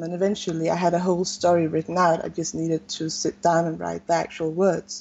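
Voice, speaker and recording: Her fairly low-pitched voice moves at a fairly quick pace in a monotone, flat intonation. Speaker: novelist. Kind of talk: interview.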